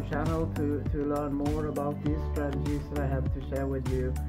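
Clear music in the background accompanies a man as he speaks. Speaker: online marketer. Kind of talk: casual talk to camera. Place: home room. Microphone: phone near.

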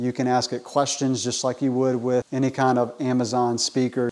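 A man talks fairly fast with a quiet background behind him. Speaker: product reviewer. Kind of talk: product review to camera. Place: garage. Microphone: lapel.

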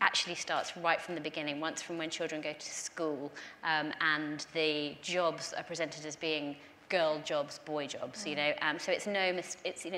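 Over light background noise, a woman with a bright, sharp tone talks at a fairly low pitch and a moderate pace. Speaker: guest, politician. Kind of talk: panel discussion answer. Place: stage.

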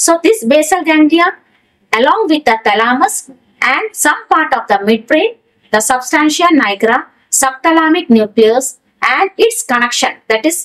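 Against a quiet background, a woman speaks at a moderate pace in a high pitch. Her pitch swings very widely. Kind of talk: lecture. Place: studio.

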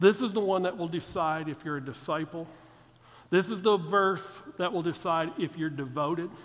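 His voice sits high for a man, moving at a medium tempo with normal rises and falls in pitch. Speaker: preacher. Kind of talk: sermon. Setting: church. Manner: jokey, casual, conversational; earnest, fervent, steady in prayer. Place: church. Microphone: headset.

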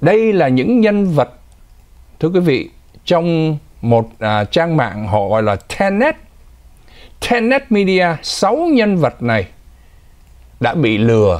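Against a quiet background, a man talks at a very slow pace with long, frequent pauses, fairly high pitch, very wide pitch swings, and very even loudness. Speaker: news anchor. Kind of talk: news commentary. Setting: studio. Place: studio.

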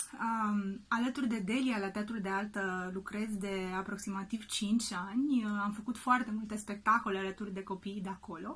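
A woman speaks with fairly even intonation and hardly any pauses. Noticeable background noise runs behind her. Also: medium pitch for a woman, moderate pace. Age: 30s. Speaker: actress and children's drama teacher. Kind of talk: video message to parents. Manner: hesitant with frequent fillers.

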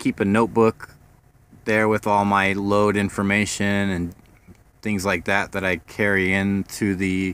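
Fairly slow pace in a dry sound with no echo. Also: man. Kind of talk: casual vlog tour. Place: car. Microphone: phone near.

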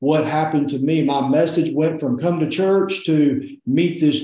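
A man's dark, mellow voice at a fairly slow pace, with fairly even intonation and audible room echo. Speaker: interview guest. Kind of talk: testimony interview answer. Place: home room. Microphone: video call.

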